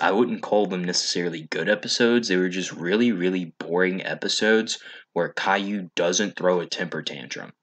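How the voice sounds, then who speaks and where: The man's pitch sits fairly low, and the surroundings are quiet. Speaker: online video reviewer. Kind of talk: commentary. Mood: wry, sarcastic critique. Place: home room. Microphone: studio mic.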